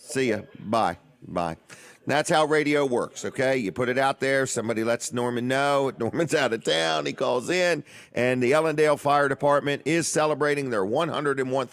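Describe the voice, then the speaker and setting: Using an ordinary speaking voice, a man talks at a medium pitch and a moderate pace, with ordinary pitch variation and very even loudness. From Washington DC area. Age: 60s. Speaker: radio and TV show host. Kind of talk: live radio talk show. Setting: radio studio.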